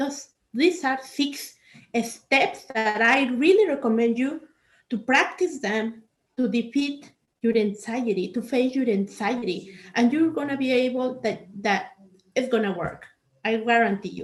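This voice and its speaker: A woman with a non-native accent speaks at a fairly slow pace in a high voice with lively intonation. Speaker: life coach. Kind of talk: workshop talk.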